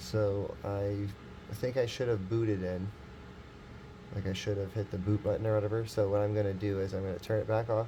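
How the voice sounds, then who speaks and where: Audible room echo hangs around this recording. The man's voice sits fairly low in pitch. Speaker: tech hobbyist youtuber. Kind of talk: casual vlog tutorial. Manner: halting, many fillers.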